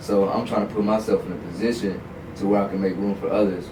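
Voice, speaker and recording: Fairly low male voice, fairly quick in pace, with noticeable background noise and audible room echo. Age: 20s. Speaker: content creator. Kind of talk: casual chat. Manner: animated.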